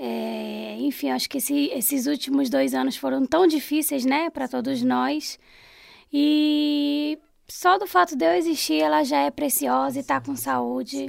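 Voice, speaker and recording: Recorded very cleanly against a silent background, a woman speaks at a fairly slow pace. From Pará, Brazil (Belém). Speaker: food business owner. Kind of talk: interview.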